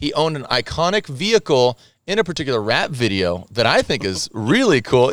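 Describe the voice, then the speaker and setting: This voice has vocal fry and very wide pitch swings. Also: man. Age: 40s. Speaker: podcast host. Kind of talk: casual chat. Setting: outdoors.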